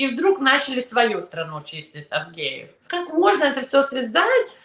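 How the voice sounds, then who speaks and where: A woman's pitch swings very widely while noticeable noise fills the background. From Soviet Union, raised in New York. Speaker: immigration lawyer. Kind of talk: interview.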